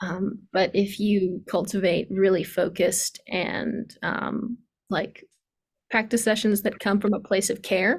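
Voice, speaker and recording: A woman's somewhat breathy, medium-pitched voice moves along at a moderate pace. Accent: American. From US East Coast. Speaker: piano teacher. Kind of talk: online workshop.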